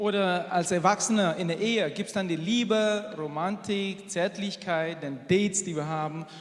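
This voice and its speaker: A man with a high pitch talks at a moderate pace with fairly even intonation and hardly any pauses. Noticeable background noise and audible room echo are present. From Asia. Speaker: engineer and church speaker. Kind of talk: sermon.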